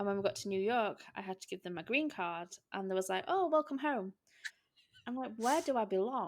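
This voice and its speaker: A woman in an English accent, fairly high-pitched with very wide pitch swings, at a fairly quick pace. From England. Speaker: podcast host. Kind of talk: casual chat.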